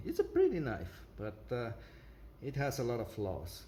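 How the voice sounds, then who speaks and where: With a non-native accent, a man speaks at a fairly slow pace and a medium pitch, with audible room echo. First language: not English. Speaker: product reviewer. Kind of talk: product review with demonstration. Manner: halting, many fillers.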